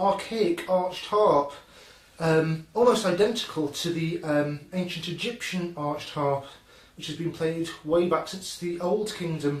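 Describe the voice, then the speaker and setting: A man with a Scouse accent speaks at a high pitch with ordinary pitch variation. Noticeable background noise runs underneath. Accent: Scouse, self-described as dodgy. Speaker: music instrument presenter. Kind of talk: casual presentation. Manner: halting, many filler ums.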